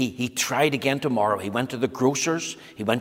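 Ordinary shifts in pitch, in an unforced reading voice

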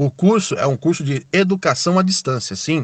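A man with a plain, everyday voice speaks at a moderate pace, his fairly high pitch moving with lively intonation, in a dry, close sound with no echo. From São Paulo, Brazil. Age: 30s. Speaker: ride-hailing driver. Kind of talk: recorded testimony.

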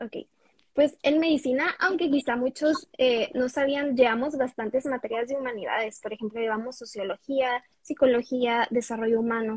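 A woman speaks with a high pitch and ordinary pitch variation at a moderate pace, the sound dry and close with no echo. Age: 20s. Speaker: medical student and content creator. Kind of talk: interview.

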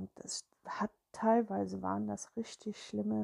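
A woman is heard in a very clean recording with a silent background and a dry, close sound with no echo. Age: 50s. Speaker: spiritual podcaster. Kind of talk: personal monologue. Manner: hesitant, with filler sounds.

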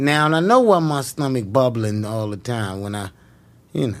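A man talking at a fairly quick pace, with ordinary pitch variation. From New York (Harlem). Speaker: comedian. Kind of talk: casual chat.

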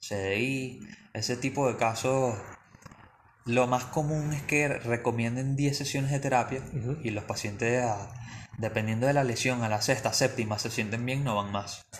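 The intonation stays fairly even at a fairly slow pace. It is a plain, everyday voice. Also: man, medium pitch for a man. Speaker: physiotherapist. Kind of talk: interview.

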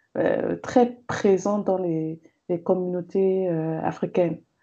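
The background is quiet. A woman talks with ordinary pitch variation. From Cameroon. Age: 30s. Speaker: gender and development consultant, feminist blogger. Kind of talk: interview conversation.

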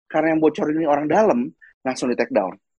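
Dry and close with no echo, a man's voice makes very wide pitch swings. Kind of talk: casual chat.

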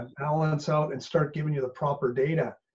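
A man's fairly high, somewhat breathy voice with a Canadian accent, at a moderate pace. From Canada. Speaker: business coach. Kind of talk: casual interview chat.

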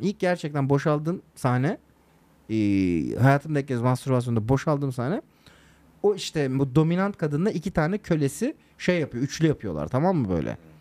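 Using an ordinary speaking voice, a man talks at a fairly quick pace with lively intonation. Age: 30s. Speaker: podcast co-host. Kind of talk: casual chat.

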